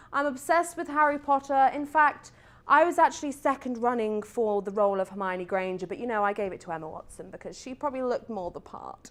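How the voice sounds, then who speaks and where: A woman with a British accent speaks very fast with hardly any pauses, her high pitch swinging very widely and her loudness shifting greatly, on a very clean recording with a silent background. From UK. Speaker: talk show host. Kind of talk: talk show monologue; vlog intro to camera. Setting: TV studio. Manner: animated.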